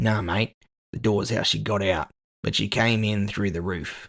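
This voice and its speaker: A put-on character voice, raspy and delivered at a moderate pace. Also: man, fairly low pitch for a man. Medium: audio drama. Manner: casual, matey.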